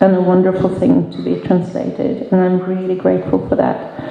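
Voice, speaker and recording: Noticeable background noise and audible room echo surround a woman speaking with a Norwegian accent. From Norway. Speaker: novelist. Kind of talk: audience Q&A. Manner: halting.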